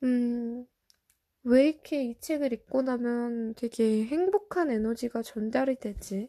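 With a dry, close sound and no echo, a woman speaks very slowly in a high-pitched, dark, mellow tone with ordinary pitch variation. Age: 20s. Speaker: podcast host. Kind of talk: casual solo podcast talk. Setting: recording at home late at night.

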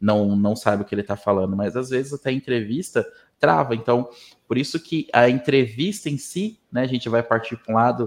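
Talking at a fairly quick pace, a man has an unremarkable speaking voice with medium pitch and ordinary pitch variation. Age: 20s. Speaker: HR professional. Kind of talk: interview.

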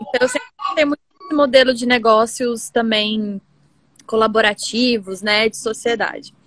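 A woman at a fairly high pitch and moderate pace, with ordinary pitch variation, big swings in loudness and long, frequent pauses. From Brasília, Brazil. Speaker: environmental consultant and community creator. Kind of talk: casual interview on live stream. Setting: home office, live video.

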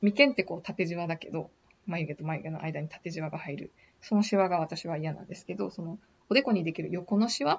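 The voice is somewhat breathy and moves at a fairly quick pace. Its pitch varies in an ordinary way while the loudness swings widely. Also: woman, fairly low pitch for a woman. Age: 30s. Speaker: podcaster working in beauty industry. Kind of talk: casual monologue. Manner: hesitant, many fillers.

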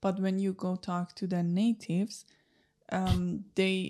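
This is a woman's voice, pitched in the medium range. The tone comes across dark and mellow. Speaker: podcast co-host. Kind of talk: casual interview.

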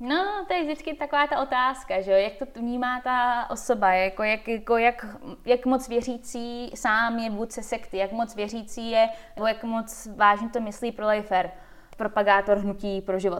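This woman has an ordinary speaking voice with a fairly high pitch. Her pace is moderate, with ordinary pitch variation. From Czech Republic and USA. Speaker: skeptic organization president. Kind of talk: casual interview chat.

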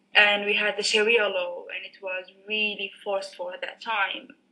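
A woman speaks at a fairly slow pace with an Arabic accent. Her pitch sits in the medium range. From Sudan. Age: 20s. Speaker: software engineer and former lecturer. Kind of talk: casual interview. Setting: Skype call.

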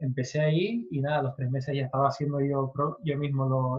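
Here a man talks at a moderate pace. His fairly high pitch comes with fairly even intonation. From Canary Islands (Tenerife). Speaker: SEO consultant. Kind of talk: interview. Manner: halting.

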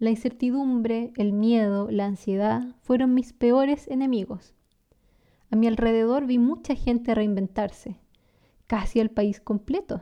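Against a quiet background, a woman with a Chilean accent speaks at a fairly slow pace in a fairly high pitch, her dark, mellow tone carrying fairly even intonation and very even loudness. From Chile (San Carlos, south-central). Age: 30s. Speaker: language teacher and podcast host. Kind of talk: scripted narration. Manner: clear, natural pace for learners.

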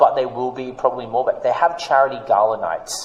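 Against noticeable background noise, a man with an Australian accent speaks at a fairly high pitch. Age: 30s. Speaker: international speaker and social proof consultant. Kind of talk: casual interview chat.

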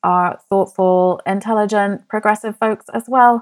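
In a dry, close sound with no echo, a woman with an unremarkable speaking voice talks at a moderate pace, fairly high in pitch, with fairly even intonation. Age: 40s. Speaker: podcast host, money coach. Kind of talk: solo podcast monologue.

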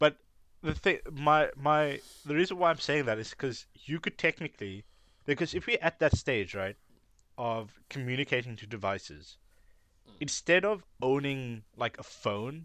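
Fairly high-pitched male speech at a moderate pace, with lively intonation, a bright, sharp tone, and a dry, close sound with no echo. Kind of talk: casual chat.

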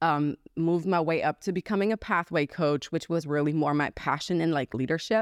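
A woman with a German accent speaks at a fairly quick pace, her pitch fairly low and her intonation fairly even. The recording is very clean and silent behind her, with a dry, close sound and no echo. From Germany. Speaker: entrepreneur and podcast host. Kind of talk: interview.

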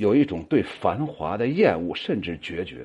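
A man talks at a fairly slow pace with vocal fry and very wide pitch swings. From northern Shaanxi. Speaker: poetry group host and commentator. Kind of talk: monologue commentary on members' poems. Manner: many filler particles and hesitations.

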